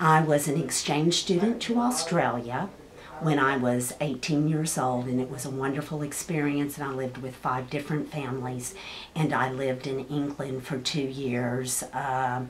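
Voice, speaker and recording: A woman with a Texas accent speaks at a moderate pace, her voice very deep and low with fairly even intonation. Noticeable background noise and audible room echo fill the recording. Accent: Texas Southern twang. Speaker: high school counselor. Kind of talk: casual interview.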